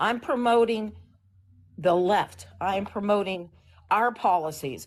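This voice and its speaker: A woman with an ordinary speaking voice at medium pitch and ordinary pitch variation, over a quiet background. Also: fairly slow pace. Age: 60s. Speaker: political activist caller on a livestream. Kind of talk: political discussion on a livestream.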